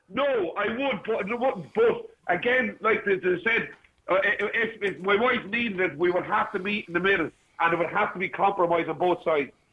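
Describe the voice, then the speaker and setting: In an Irish accent, a man talks at a moderate pace. His high voice shows ordinary pitch variation. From Ireland, outside Dublin. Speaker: caller. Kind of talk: radio phone-in discussion. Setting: phone call.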